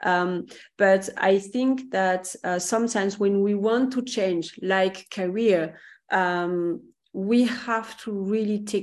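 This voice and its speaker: A woman with a French accent at a medium pitch, talking at a fairly slow pace with fairly even intonation against a quiet background. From France. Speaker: career coach. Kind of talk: casual chat. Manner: halting.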